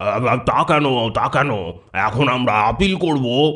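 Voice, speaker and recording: In a put-on character voice, a man speaks at a fairly slow pace and a medium pitch. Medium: audio drama. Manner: hesitant, stammering.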